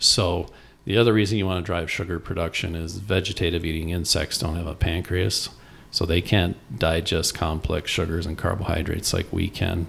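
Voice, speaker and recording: A man with an American accent, very deep, low pitch, fairly even intonation and a fairly quick pace. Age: 60s. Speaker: organic hay farmer. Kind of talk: interview. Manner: casual, with fillers.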